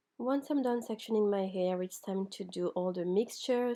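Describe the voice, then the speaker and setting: Pitched at a medium level, a woman speaks at a moderate pace with a dark, mellow tone and ordinary pitch variation. The recording is very clean, with a silent background. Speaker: hair tutorial vlogger. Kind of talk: casual tutorial talk to camera.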